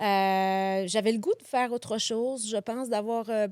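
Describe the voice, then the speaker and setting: Her pitch is fairly high for a woman. She speaks at a moderate pace. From France, Paris region and Lyon region. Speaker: innkeeper and festival organizer. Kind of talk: interview.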